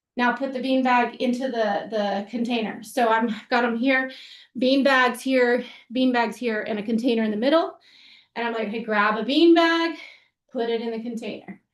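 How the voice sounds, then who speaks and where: A woman's high-pitched voice with fairly even intonation and audible room echo. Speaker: physical therapist and gymnastics coach educator. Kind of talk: webinar tutorial with demonstration. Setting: online webinar. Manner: fast; casual with many fillers.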